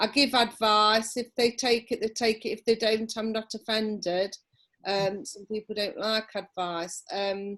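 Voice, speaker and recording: Using fairly even intonation, a woman with an East Midlands accent speaks at a fairly high pitch and a fairly slow pace. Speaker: holistic therapist. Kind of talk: interview. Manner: loud.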